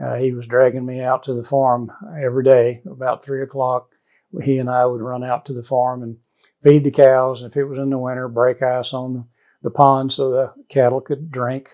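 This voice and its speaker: Talking at a moderate pace, a man keeps a medium pitch in a monotone, flat intonation while his loudness swings widely. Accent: American. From northeast Texas (Paris). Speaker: veterinarian. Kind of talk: personal life story interview. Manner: halting, many fillers.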